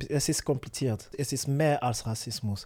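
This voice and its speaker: A man's medium-pitched voice with a non-native accent. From Africa. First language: not German (speaking German). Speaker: musician. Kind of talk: casual interview chat. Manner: halting.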